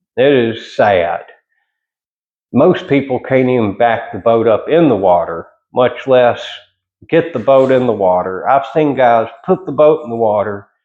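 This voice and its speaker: Speaking at a fairly slow pace, a man with a Southern US accent uses lively intonation. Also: medium pitch for a man. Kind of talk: casual monologue vlog. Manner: casual, halting with repetitions.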